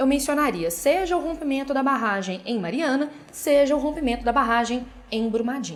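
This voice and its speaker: A woman with a Minas Gerais accent speaks at a high pitch. Her pace is fairly quick. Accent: Minas Gerais Brazilian Portuguese. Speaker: essay-writing teacher. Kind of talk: tutorial. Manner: casual, direct address.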